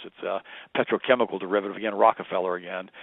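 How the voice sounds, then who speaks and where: At a very fast pace, a man is talking. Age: 50s. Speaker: health and nutrition speaker. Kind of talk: radio interview.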